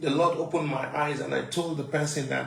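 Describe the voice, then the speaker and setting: Spoken at a moderate pace with fairly even intonation, the voice carries audible room echo and noticeable background noise. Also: man. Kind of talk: testimony.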